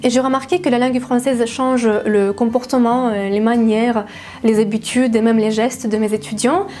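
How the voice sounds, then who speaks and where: There is noticeable background noise behind this woman's voice. Her pitch is high, with ordinary variation. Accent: Russian. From Russia, Siberia. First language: Russian (speaking French). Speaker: language teacher. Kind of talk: casual vlog monologue. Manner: hesitant, frequent fillers.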